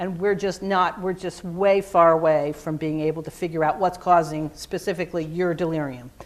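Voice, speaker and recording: A woman with a fairly low pitch talks in an ordinary speaking voice at a moderate tempo, her pitch varying in an ordinary way. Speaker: physician and psychiatrist. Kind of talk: lecture. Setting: conference room presentation.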